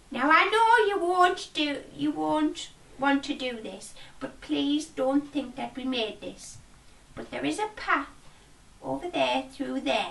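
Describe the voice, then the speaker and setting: A woman performs a put-on character voice at a high pitch. She speaks at a fairly slow pace. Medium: read story. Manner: rambling, complaining.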